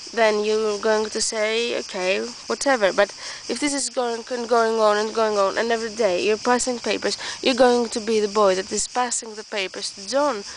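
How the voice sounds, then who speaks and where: A woman with a non-native accent speaks at a moderate pace and a fairly high pitch. Her intonation stays fairly even, with noticeable background noise behind her. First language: not English. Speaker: vlogger. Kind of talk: casual monologue vlog. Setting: outdoors in the woods. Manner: halting, many restarts.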